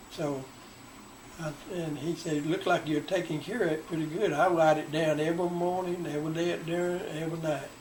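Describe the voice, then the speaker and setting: A man with a Southern US accent talks at a fairly quick pace in a fairly high, monotone, flat voice. Audible room echo and noticeable background noise accompany him. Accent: Southern US (Georgia). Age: 80s+. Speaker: retiree recounting his life. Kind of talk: oral history interview.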